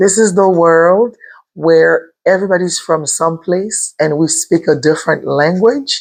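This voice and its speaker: At a fairly slow pace and very even loudness, the speaker talks with a Haitian accent and ordinary pitch variation. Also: woman, fairly low pitch for a woman. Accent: Haitian Creole-accented English. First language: Haitian Creole. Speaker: respiratory therapist turned online entrepreneur. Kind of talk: motivational vlog.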